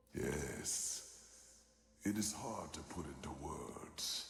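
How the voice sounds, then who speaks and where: In a put-on character voice, a man with a fairly low pitch speaks in a solemn tone at a very slow pace, with a clear echo around him. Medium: video game. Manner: measured, solemn.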